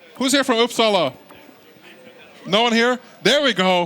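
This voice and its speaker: An animated, raised, projected voice carries over noticeable background noise. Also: man. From Sweden, Stockholm. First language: Swedish. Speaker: esports commentator. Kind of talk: live tournament commentary.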